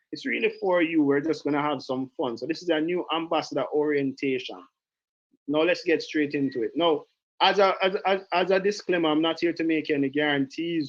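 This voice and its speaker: A man's fairly high voice with a Jamaican accent, animated and fairly quick, with ordinary pitch variation. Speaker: direct sales trainer. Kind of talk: online training call.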